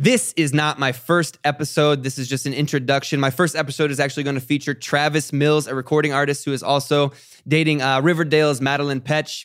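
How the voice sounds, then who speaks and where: An American accent marks this man's very fast, fairly high-pitched speech, delivered in a flat monotone with hardly any pauses. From Ohio. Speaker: podcast host and YouTuber. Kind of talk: solo podcast introduction. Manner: conversational, normal volume.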